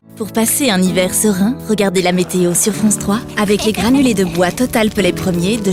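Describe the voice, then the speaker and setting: Backed by music, a woman speaks at medium pitch and a moderate pace, with ordinary pitch variation. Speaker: voice actor. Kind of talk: TV commercial read.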